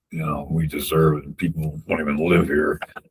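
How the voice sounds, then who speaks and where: Fairly quick and somewhat breathy, a man's voice moves along. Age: 60s. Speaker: wrongful conviction advocate. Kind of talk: interview. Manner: halting.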